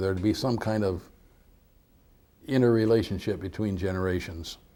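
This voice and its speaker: The voice has a dark, mellow tone and an American accent, moving at a moderate pace with ordinary pitch variation. The recording is very clean, with a silent background. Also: man. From upstate New York. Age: 80s+. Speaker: war veteran. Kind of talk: oral history interview. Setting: school visit with students.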